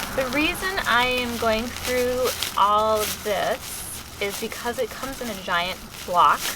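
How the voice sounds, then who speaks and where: A high-pitched woman with an American accent, very slow pace and lively intonation, amid audible room echo and noticeable background noise. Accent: Midwestern, being suppressed. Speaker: lifestyle and cocktail blogger. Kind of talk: tutorial. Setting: outdoors, then back indoors.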